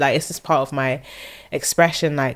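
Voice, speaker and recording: Fairly quick in pace, a woman with a London accent speaks at a very deep, low pitch. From South London. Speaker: singer-songwriter. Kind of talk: casual interview chat. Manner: halting, many fillers.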